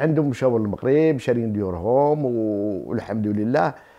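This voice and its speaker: Against a quiet background, a man with a dark, mellow tone speaks at a fairly slow pace with lively intonation. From Morocco, Tiflet, Souss roots; Morocco. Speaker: shop owner. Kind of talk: interview. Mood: warm, cheerful.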